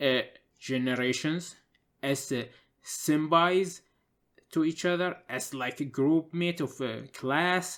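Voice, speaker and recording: With a non-native accent, the speaker goes at a fairly slow pace on a very clean recording with a silent background. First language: not English. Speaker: gaming commentator. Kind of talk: casual commentary monologue. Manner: halting, many filler uhs.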